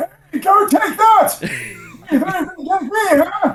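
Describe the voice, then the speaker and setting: Putting on a character voice, a man speaks in an extremely high pitch at a moderate pace. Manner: grumpy, confrontational.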